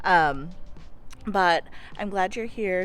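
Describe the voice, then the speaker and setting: A woman speaks with music in the background. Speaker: vlogger and counseling grad student. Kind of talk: casual vlog chat.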